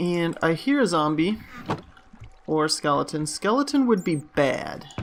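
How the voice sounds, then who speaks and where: Here a man speaks at a high pitch and a fairly slow pace, with lively intonation. Noticeable background noise is present. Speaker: gaming youtuber. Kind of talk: gameplay commentary. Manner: casual, hesitant with fillers.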